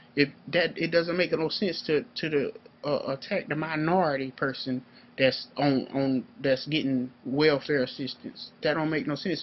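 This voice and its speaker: With fairly even intonation, a man speaks in a normal speaking voice at a fairly high pitch. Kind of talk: political commentary monologue. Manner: casual, profane, heated.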